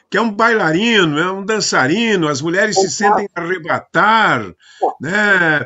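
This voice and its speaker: Speaking at a fairly slow pace, the man has a high pitch with ordinary pitch variation. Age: 70s. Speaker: program host. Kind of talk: casual interview. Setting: live broadcast.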